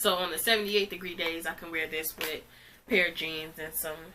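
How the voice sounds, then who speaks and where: There is noticeable background noise behind a woman speaking at a moderate pace. Her pitch is fairly low and her intonation fairly even. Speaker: fashion youtuber. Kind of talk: try-on haul. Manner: casual, filler-heavy.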